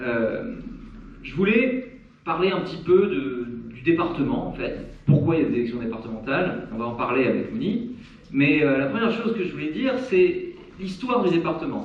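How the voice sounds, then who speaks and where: A man with a high voice speaks at a moderate pace, with very wide pitch swings and big swings in loudness. Noticeable background noise and audible room echo fill the recording. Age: 30s. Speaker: local election candidate. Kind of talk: campaign speech at public meeting. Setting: public meeting hall. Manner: hesitant, many filler sounds.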